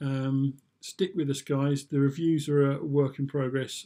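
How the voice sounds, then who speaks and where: A man speaks with a British accent at a fairly high pitch. His tone is dark and mellow. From UK. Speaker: vlogger. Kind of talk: casual review monologue. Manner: hesitant, many fillers.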